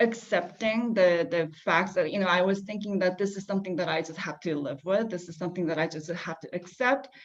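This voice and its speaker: Fairly even intonation in a woman's medium-pitched voice. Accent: non-native. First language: not English. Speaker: panelist. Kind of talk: panel discussion. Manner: halting, many fillers.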